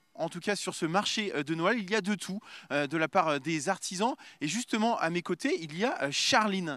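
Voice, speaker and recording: Pitched high, a man speaks at a moderate pace with lively intonation and a bright, sharp tone. The recording is very clean, with a silent background. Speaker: TV field reporter. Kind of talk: live TV reporting. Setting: outdoor Christmas market. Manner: hesitant, many fillers.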